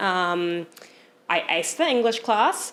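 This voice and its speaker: A woman speaks in a New Zealand accent. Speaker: photographer. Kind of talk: casual chat.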